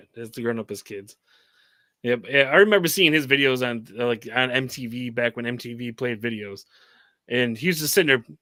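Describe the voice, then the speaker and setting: At a fairly quick pace, a man with an American accent speaks at medium pitch in a bright, sharp tone. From Michigan, US (the Thumb area). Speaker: rapper. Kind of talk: casual chat.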